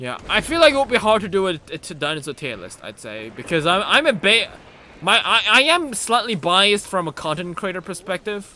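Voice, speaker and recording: A man speaks at a fairly quick pace in a high, raised, projected voice with a non-native accent, his animated tone carrying very wide pitch swings and big swings in loudness. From Germany. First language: not English. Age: 20s. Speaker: gaming streamer. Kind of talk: live gameplay stream chat. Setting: live stream.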